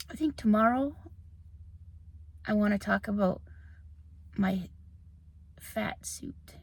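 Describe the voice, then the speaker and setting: A soft-spoken woman talks at a fairly slow pace. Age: middle-aged. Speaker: video blogger. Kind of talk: personal vlog monologue. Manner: halting.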